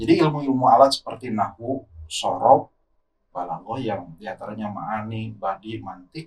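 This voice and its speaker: Ordinary pitch variation marks this somewhat breathy voice, which moves at a moderate tempo. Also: man. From West Java (Sundanese region). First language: Sundanese (speaking Indonesian). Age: young. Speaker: Islamic preacher. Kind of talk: podcast interview.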